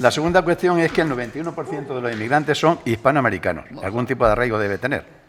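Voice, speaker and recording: A man speaks very fast, his pitch swinging very widely, with noticeable background noise behind him. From Spain, Madrid. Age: 70s. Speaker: political talk show panelist. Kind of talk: heated debate. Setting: radio studio. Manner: animated.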